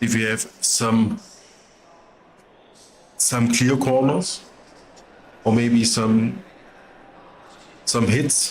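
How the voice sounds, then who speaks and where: This man speaks at a medium pitch with a non-native accent, at a very slow pace with long, frequent pauses. His loudness stays very even and his intonation fairly even. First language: not English. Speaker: sim racing commentator. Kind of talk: live race commentary. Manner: casual.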